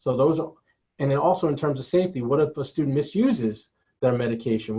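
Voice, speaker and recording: Talking at a fairly quick pace, a man sounds somewhat breathy. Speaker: collegiate recovery program staff. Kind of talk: webinar presentation. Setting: online webinar. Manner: fast.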